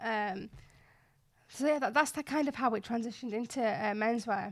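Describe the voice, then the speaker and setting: In a Yorkshire accent, a woman speaks at a moderate pace with fairly high pitch and fairly even intonation, recorded very cleanly against a silent background. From West Yorkshire, Bradford. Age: 20s. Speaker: fashion blogger and influencer. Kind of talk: interview.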